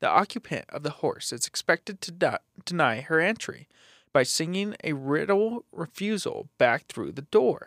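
Dry and close with no echo, this very clean recording with a silent background has a man speaking at a high pitch and moderate pace, with big swings in loudness. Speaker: podcast co-host. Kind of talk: casual chat.

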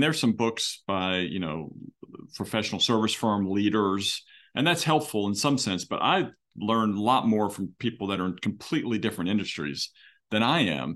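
This man has a normal speaking voice pitched fairly low. He talks at a fairly quick pace. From Philadelphia, US. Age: 50s. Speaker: law firm CEO. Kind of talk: interview.

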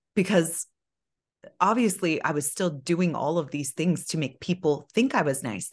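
The speaker has an animated tone and a moderate pace. The background is quiet. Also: woman. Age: 40s. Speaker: hairstylist and breathwork facilitator. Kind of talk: casual chat.

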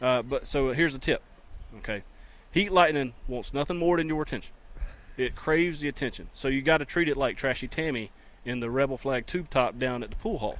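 Speaking in a North Carolina accent, a man uses a fairly high pitch and ordinary pitch variation. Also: fairly quick pace. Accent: rural Southern, Johnston County. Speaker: weatherman and radio co-host. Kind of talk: casual sports radio banter.

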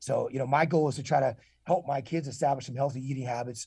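The voice is somewhat breathy, with a dark, mellow tone. It moves at a very fast pace over a quiet background. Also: man. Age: 40s. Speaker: retired military officer and leadership consultant. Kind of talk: interview. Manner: halting, many repeated words and fillers.

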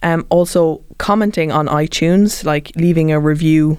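A woman with a very deep, low voice and a Cork accent. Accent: Cork Irish. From Ireland, Cork. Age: 30s. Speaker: podcast host. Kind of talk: interview. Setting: studio.

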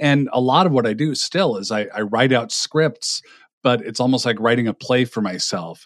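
Here a man speaks with a medium pitch and lively intonation. His pace is moderate. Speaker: podcast host and author. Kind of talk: casual interview conversation.

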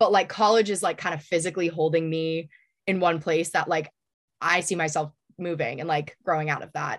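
Against a quiet background, a woman with an American accent talks at a fairly quick pace in a normal speaking voice, fairly low in pitch with fairly even intonation. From US Northeast, New Hampshire. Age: 20s. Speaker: college student and aspiring actress. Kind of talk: casual interview.

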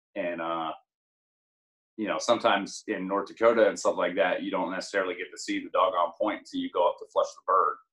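Very fast speech from a man in an American accent, loudness swinging a lot. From southwestern Pennsylvania (Greensburg). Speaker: army recruiter and bird dog hunter. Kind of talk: casual chat.

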